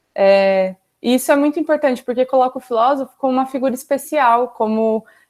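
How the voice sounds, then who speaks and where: A woman talks at a fairly quick pace in a high pitch. Her pitch varies in an ordinary way. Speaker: philosophy student teaching a class. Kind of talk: online lecture. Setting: video call class with chat. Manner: fast; casual, conversational.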